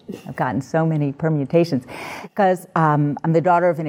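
With a New York accent, a woman speaks at a very deep, low pitch with ordinary pitch variation. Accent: New York American. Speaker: journalist and nonprofit director. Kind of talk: panel discussion.

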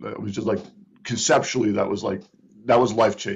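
This male speaker's voice carries some breathiness. He talks very fast. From Providence, Rhode Island. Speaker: marketing company CEO. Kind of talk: interview. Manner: halting.

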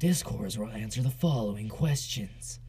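Against clear background noise, a man puts on a character voice at a medium pitch and a moderate pace. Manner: dramatic.

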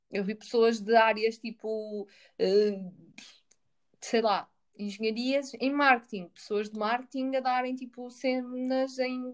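A woman's fairly high voice at a very slow pace. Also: fairly even intonation. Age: 20s. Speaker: podcast co-host. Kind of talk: casual chat.

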